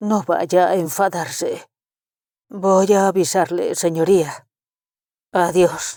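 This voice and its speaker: Using a put-on character voice, a woman speaks at a medium pitch in a raspy, monotone, flat delivery, very slowly and with long, frequent pauses, on a very clean recording with a silent background. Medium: read story. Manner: humble, deferential.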